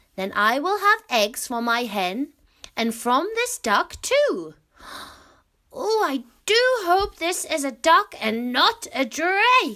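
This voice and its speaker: A woman uses a put-on character voice at an extremely high pitch. She speaks very slowly, with very wide pitch swings. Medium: read story.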